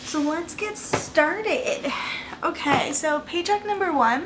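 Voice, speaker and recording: Against noticeable background noise, a woman speaks fairly slowly with ordinary pitch variation. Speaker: budgeting vlogger. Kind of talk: casual chat. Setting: home at night. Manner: soft-spoken.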